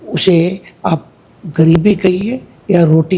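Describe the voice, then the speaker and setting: A man speaks at a high pitch with ordinary pitch variation. Background noise is noticeable. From India, Bihar. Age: 60s. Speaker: businessman, health supplement company founder. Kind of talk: interview, life story.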